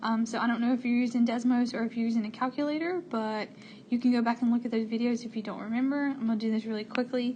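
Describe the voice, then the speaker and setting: Against noticeable background noise, a woman speaks at a very fast pace and a fairly high pitch, with fairly even intonation. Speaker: math teacher. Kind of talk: tutorial. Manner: casual.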